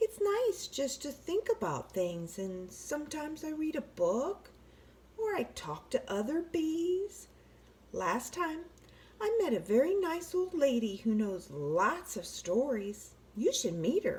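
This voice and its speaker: A put-on character voice that sounds female, pitched high. It swings very widely in pitch at a fairly slow pace. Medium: read story. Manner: easygoing, gentle.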